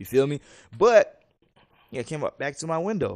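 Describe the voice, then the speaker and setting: A man speaks in an animated tone with very wide pitch swings. The background is quiet. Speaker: podcast co-host. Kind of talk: casual chat.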